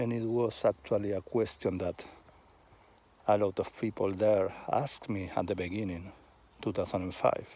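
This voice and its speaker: With a Spanish accent, a man talks in a dark, mellow tone at a fairly low pitch with fairly even intonation. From Argentina, Buenos Aires. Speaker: vlogger. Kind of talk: casual monologue. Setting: outdoors on a walk. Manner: halting, with pauses.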